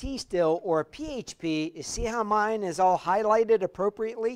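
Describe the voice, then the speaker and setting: A man speaks at a high pitch and a fairly slow pace with lively intonation. The recording is very clean with a silent background and a dry, close sound with no echo. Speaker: university lecturer. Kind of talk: hands-on classroom tutorial. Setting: classroom with students.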